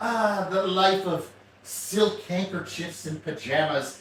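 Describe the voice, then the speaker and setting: The room echo is audible. It is a man who speaks. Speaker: product reviewer. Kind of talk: casual unboxing review. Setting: bedroom. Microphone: far from the mic, mic near fan.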